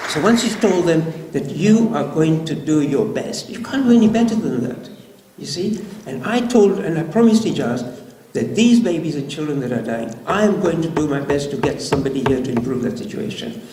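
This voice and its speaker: A man with a fairly high pitch talks at a fairly quick pace with very wide pitch swings. Noticeable background noise and audible room echo come through. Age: 70s. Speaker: doctor. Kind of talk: lecture. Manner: animated.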